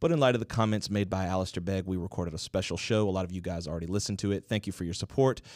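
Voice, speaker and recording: Speaking with an American accent, a man with a very deep, low pitch talks at a very fast pace with hardly any pauses and fairly even intonation, in a dry sound with no echo over a quiet background. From US South. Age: 30s. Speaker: podcast co-host. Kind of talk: casual chat; casual podcast chat. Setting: studio. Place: studio. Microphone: studio mic.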